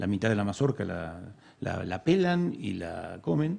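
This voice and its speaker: The man's voice has a dark, mellow tone. His pitch varies in an ordinary way. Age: 60s. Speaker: bird and wildlife expert. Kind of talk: interview. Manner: halting, many fillers and repeats.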